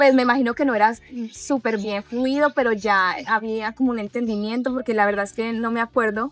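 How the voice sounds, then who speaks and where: Her fairly high voice moves at a fairly quick pace with fairly even intonation as the woman speaks. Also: dry, close sound with no echo. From Colombia (Pereira, coffee region). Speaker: immigrant sharing life story. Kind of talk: interview conversation. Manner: hesitant, with fillers.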